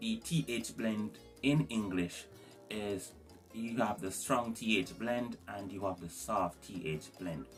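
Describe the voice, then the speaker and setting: Over music in the background, a man speaks in a Jamaican accent at a very slow pace. His pitch varies in an ordinary way. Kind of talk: language tutorial to camera. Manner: casual.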